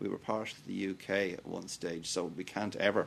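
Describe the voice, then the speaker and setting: Speaking in a Dublin accent at a moderate pace, a man has a very deep, low pitch. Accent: Dublin Irish. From Dublin, Ireland. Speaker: Orange Order member. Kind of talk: documentary interview.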